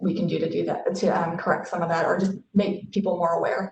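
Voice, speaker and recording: At a fairly quick pace, a woman speaks with fairly low pitch, fairly even intonation and a somewhat breathy quality. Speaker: marketing executive. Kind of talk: webinar panel discussion. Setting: video call. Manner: fast.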